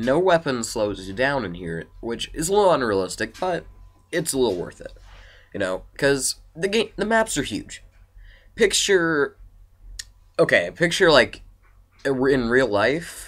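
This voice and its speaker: On a very clean recording with a silent background, a man speaks at a fairly slow pace with long, frequent pauses. His fairly high voice has vocal fry and very wide pitch swings. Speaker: video game reviewer. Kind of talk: casual video game review. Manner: halting, stuttering.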